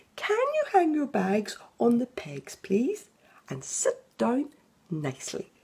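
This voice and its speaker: Someone uses a put-on character voice with a gentle tone, speaking fairly slowly. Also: woman. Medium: read story. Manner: gentle, encouraging.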